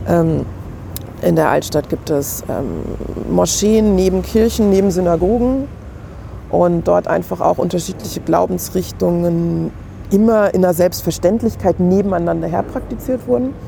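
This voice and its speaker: At a fairly slow pace, a woman speaks with very even loudness amid noticeable background noise. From Germany. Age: 30s. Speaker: museum curator. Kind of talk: casual chat. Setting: kiosk.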